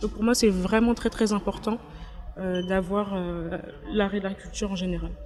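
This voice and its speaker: Amid noticeable background noise, a woman with a medium-pitched voice speaks at a fairly slow pace, her intonation fairly even and her speech broken by long, frequent pauses. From Paris, France. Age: 20s. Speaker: content creator. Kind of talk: interview. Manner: hesitant, many fillers.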